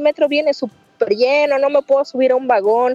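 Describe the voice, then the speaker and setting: Over background music, a woman speaks high in pitch, the sound dry and close with no echo. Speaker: manicurist. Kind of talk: interview.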